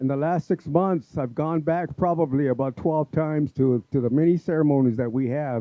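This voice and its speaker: A man with a Southwestern US accent, fairly high in pitch, with ordinary pitch variation. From Apache reservation, US Southwest. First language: Apache. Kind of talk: community event speech. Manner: halting, many fillers.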